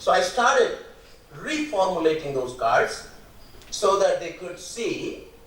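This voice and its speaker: A man speaks at a fairly slow pace. Noticeable background noise and audible room echo surround him. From India, Rajasthan. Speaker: mathematics educator. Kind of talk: keynote lecture.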